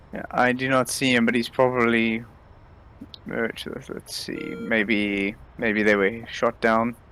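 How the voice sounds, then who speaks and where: A very slow, monotone delivery with flat intonation over noticeable background noise. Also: man, medium pitch for a man. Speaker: RIO (radar intercept officer) in flight sim, co-player. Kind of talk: casual talk while gaming, gameplay commentary.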